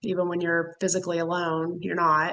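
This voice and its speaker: A woman with a Texan accent speaks in a fairly low voice with flat, monotone intonation. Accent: Texan southern drawl. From Texas, Houston. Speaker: caffeine quitting supporter. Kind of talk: casual chat. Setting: livestream.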